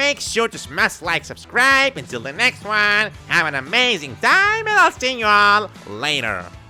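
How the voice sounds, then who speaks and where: Clear music plays behind a put-on character voice. The pace is moderate, with hardly any pauses. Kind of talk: exaggerated YouTuber sign-off. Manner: grating, deliberately annoying.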